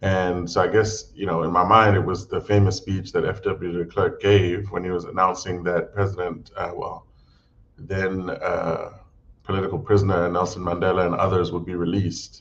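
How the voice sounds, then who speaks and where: Over noticeable background noise, a man with an American accent talks at a moderate pace in a very deep, low voice with monotone, flat intonation. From South Africa (Johannesburg), early childhood in US. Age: 40s. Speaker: political party policy head. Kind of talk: interview. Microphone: intermittent connection.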